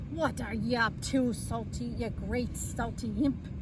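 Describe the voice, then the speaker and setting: A gruff, put-on character voice moves at a fairly slow pace. Loud background noise fills the clip. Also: woman. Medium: read story. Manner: gruff, grumbling.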